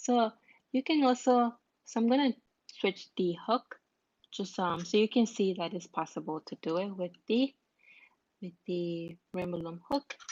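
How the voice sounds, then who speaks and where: A woman speaks at a fairly slow pace in a non-native accent, leaving long, frequent pauses. Her pitch is medium and her intonation is lively. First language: not English. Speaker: crafts tutorial creator. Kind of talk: live-streamed craft tutorial. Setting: live stream. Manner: halting, self-repeating.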